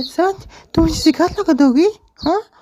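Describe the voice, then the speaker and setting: Squeaky and extremely high, a woman's put-on character voice bounces with lively intonation at a moderate pace. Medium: cartoon. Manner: demanding, repetitive.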